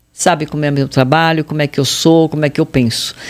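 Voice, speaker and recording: This woman talks at a fairly quick pace. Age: 60s. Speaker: fashion consultant. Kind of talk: interview.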